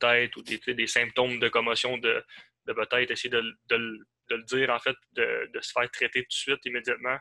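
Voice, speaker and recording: The tone is bright and sharp, with monotone, flat intonation. The sound is dry and close with no echo. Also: man. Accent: Abitibi Quebec. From Quebec, Val-d'Or (Abitibi). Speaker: podcast co-host. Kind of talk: casual interview.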